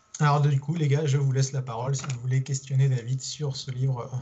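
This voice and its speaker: A man speaks fairly quickly in a somewhat breathy voice of medium pitch. His intonation stays monotone and flat. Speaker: podcast host. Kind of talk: podcast interview. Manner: hesitant, repeats words.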